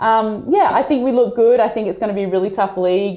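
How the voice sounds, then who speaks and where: A woman with an Australian accent speaks at a fairly quick pace in a dark, mellow tone. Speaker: professional basketball player. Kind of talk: casual interview. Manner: loud.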